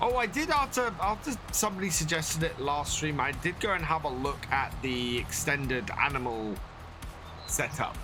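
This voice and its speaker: With a British accent and a fairly high pitch, a man talks at very even loudness with very wide pitch swings, audible room echo and music in the background. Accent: British, like Bear Grylls. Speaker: game streamer. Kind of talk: live gameplay commentary. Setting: live stream. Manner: casual, rambling with fillers.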